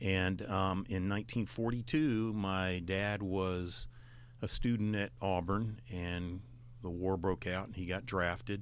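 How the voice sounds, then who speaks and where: Very deep and low in pitch, a man with an Alabama accent talks with ordinary pitch variation. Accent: Southern US (Alabama). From Alabama, US South. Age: 60s. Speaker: retired admiral, former state veterans affairs official. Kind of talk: radio interview.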